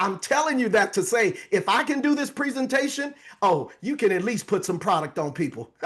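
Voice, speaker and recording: A man speaks high and fairly quickly, with very wide pitch swings. The background is quiet. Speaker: direct sales business presenter. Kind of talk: sales pitch. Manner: hyper and energetic.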